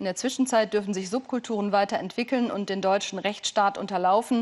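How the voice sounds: Her slightly mellow voice sits at a medium pitch with ordinary variation, moving at a fairly quick pace.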